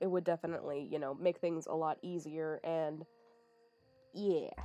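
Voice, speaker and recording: Against music in the background, a woman speaks in a fairly low pitch with monotone, flat intonation. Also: moderate pace. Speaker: podcast host. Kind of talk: casual chat. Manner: halting.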